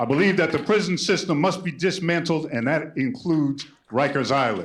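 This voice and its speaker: Crowd noise fills the background as the speaker talks with ordinary pitch variation. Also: man. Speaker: lawyer and activist speaking at public hearing. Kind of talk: public hearing testimony. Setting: public hearing with audience. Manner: animated.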